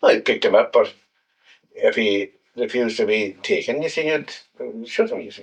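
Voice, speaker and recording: In a Scottish Highland accent, the speaker moves at a moderate pace with long, frequent pauses. The loudness swings widely. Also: man. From Scotland, Highlands (Golspie). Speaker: war veteran. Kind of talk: interview. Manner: halting.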